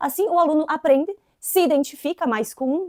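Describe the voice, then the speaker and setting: A woman with an inland Santa Catarina accent, a dark, mellow tone and a fairly quick pace. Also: dry, close sound with no echo. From southern Brazil, inland Santa Catarina. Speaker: English teacher. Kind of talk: educational video tutorial. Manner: casual, conversational.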